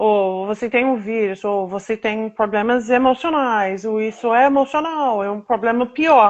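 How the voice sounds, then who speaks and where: At a fairly slow pace, a woman with an American accent speaks at a fairly high pitch. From United States. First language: English (speaking Portuguese). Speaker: patient advocate. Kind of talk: interview. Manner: halting.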